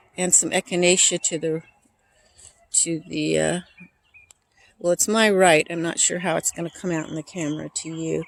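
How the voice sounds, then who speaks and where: At a moderate pace broken by long, frequent pauses, a woman with a fairly low pitch speaks in a flat monotone, the sound dry and close with no echo. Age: 60s. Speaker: herb gardener and vlogger. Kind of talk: casual vlog walk-through. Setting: outdoors in garden, early morning. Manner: hesitant, many fillers.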